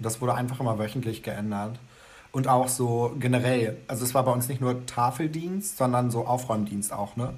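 His pitch is medium, with ordinary variation. The man talks at a moderate pace. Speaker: podcast co-host. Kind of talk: casual chat. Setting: video call.

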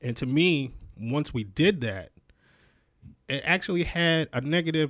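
A man speaks with an American accent at a moderate pace, using an ordinary speaking voice with ordinary pitch variation. The recording is very clean, with a silent background. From Rochester, western New York. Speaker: podcast co-host. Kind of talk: casual discussion.

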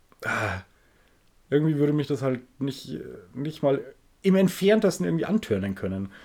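Using very wide pitch swings at a moderate pace, a man speaks in a fairly high voice with a dark, mellow tone. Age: 30s. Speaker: podcast co-host. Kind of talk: casual chat.

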